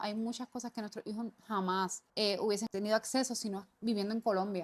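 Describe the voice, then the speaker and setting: A woman's voice in a Puerto Rican accent, fairly high in pitch, with fairly even intonation and a dry, close sound with no echo. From Puerto Rico. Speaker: podcast co-host, business owner. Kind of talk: casual podcast conversation.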